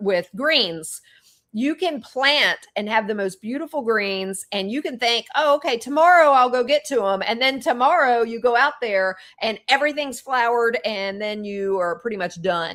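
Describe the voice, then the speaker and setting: A woman with a Southern US accent speaks at a fairly high pitch, her intonation lively. The recording is very clean, with a silent background. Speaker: holistic wellness practitioner and podcast host. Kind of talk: casual chat.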